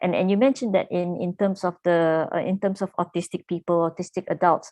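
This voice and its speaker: A woman at medium pitch talks at a fairly quick pace against a quiet background, the sound dry and close with no echo. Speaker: talk show host. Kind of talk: panel discussion. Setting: video call. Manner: loud.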